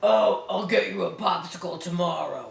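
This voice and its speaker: Using a put-on character voice, a man speaks at a moderate pace with a slight echo. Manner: ferocious.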